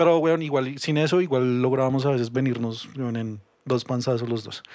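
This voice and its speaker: A man with an unremarkable speaking voice talks at a moderate pace, his fairly high pitch showing ordinary pitch variation. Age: 30s. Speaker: podcast guest. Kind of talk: casual chat.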